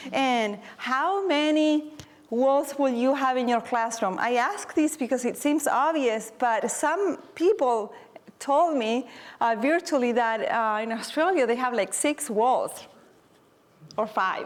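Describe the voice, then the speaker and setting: In a non-native accent, a woman talks with a warm tone, high pitch and very even loudness. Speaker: teacher and presenter. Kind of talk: conference workshop presentation. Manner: moderately paced, deliberately not too fast; warm, encouraging.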